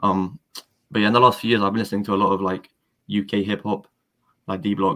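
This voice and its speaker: This man talks at a very fast pace with a London accent, a fairly low pitch and a bright, sharp tone. His intonation is fairly even, broken by long, frequent pauses. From London, England. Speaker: rapper. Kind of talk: casual chat. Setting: live stream.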